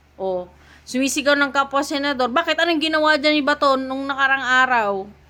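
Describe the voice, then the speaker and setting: A woman with a high pitch and a bright, sharp tone projects a raised voice at a moderate pace. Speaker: political commentator streamer. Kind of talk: ranting political commentary. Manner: loud, raised voice; animated.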